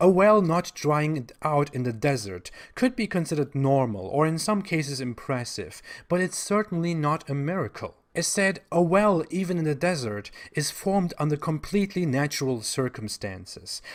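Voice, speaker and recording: A man with a German accent talks at a moderate pace in a fairly high voice with very wide pitch swings. The recording is very clean, with a silent background. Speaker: online commentator on religion. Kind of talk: video monologue commentary. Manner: sarcastic.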